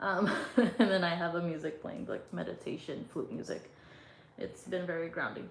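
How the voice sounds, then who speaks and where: A woman speaks at a fairly low pitch with ordinary pitch variation. The room echo is audible and the background noise noticeable. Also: moderate pace. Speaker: tarot reader. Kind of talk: casual chat. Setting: livestream. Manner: loud.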